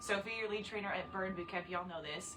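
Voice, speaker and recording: Amid noticeable background noise and audible room echo, a woman speaks at a very fast pace and medium pitch in an animated tone. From Canada. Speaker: fitness trainer. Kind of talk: casual chat. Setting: livestream.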